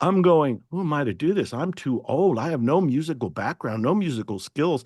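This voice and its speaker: A man talks fairly quickly, and the background stays quiet. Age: 70s. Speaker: self-help author. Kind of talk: interview. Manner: animated.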